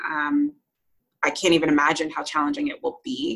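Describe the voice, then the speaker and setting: A woman talks in a normal speaking voice, fairly low in pitch. Her pace is moderate and her pitch varies in an ordinary way. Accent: American. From New Jersey / New York area, US. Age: 30s. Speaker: podcast guest sharing fertility journey. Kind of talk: interview, personal story.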